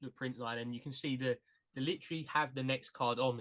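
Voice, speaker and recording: Delivered at a very fast pace, this bright, sharp voice comes with a British accent. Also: man. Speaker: podcast host. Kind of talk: interview.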